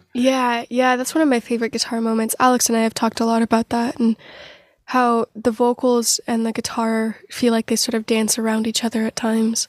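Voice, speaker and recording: In an American accent, a woman speaks at a fairly high pitch with monotone, flat intonation. The sound is dry and close with no echo. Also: fairly quick pace. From US Pacific Northwest (Portland). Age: 20s. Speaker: singer-songwriter. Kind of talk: interview conversation.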